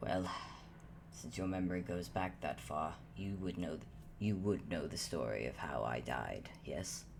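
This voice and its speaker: A man puts on a character voice, very deep and low, at a moderate pace. Loud background noise runs underneath. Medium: actual play. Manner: measured, formal, self-deprecating.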